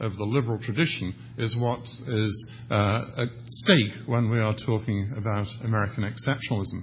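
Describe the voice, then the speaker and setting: A man speaks in a somewhat breathy voice. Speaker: academic panelist. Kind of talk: conference panel presentation.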